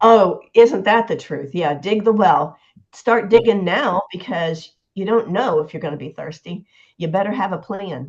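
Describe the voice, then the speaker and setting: Against a quiet background, a woman speaks at a moderate pace, somewhat breathy, with lively intonation and big swings in loudness. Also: medium pitch for a woman. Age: 70s. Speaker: nurse. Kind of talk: casual chat.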